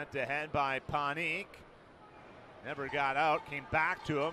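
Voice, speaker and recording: In a raised, projected voice, a man speaks with a bright, sharp tone. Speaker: hockey play-by-play announcer. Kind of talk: ice hockey play-by-play commentary.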